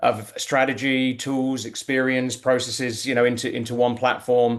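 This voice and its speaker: The voice has a British accent and a monotone, flat intonation. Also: man. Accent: British-sounding. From UK-born, raised abroad. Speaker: tech executive, panelist. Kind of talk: webinar panel discussion. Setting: online webinar.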